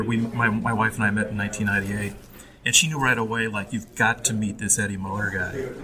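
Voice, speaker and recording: Noticeable background noise behind a man of medium pitch speaking at a fairly quick pace. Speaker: graphic designer and art director. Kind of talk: casual interview. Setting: recorded in a theater mezzanine with background noise.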